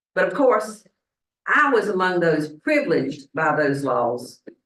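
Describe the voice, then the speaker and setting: A woman talks at a very slow pace in a Southern US accent. Her pitch swings very widely. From US South, Statesboro, Georgia. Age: 70s. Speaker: minister. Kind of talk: sermon. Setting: church congregation.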